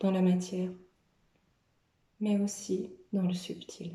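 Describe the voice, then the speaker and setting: A woman's very slow, somewhat breathy voice at a medium pitch, dark and mellow in tone, with monotone, flat intonation. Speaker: medium doing card readings. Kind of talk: tarot-style card reading monologue. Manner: hesitant, with frequent fillers.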